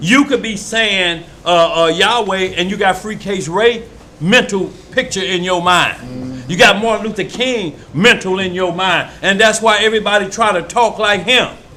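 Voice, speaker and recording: A raised, projected voice in a Mississippi accent, with ordinary pitch variation and a moderate pace, plus audible room echo and noticeable background noise. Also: man. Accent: Starkville, Mississippi. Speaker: preacher. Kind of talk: sermon. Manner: animated.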